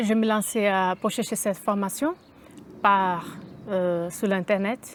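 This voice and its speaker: Her pitch sits in the medium range for a woman, and she speaks at a very slow pace. The intonation stays fairly even and the loudness very even throughout. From Brazil. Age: 30s. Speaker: concierge, adult apprentice graduate. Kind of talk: interview testimony.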